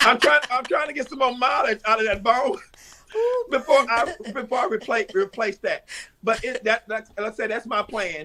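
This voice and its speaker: An American-accented man's raised, projected voice, extremely high in pitch, with ordinary pitch variation and a moderate pace. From East Texas (Tyler area). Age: 60s. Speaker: drag performer. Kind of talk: interview. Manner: halting.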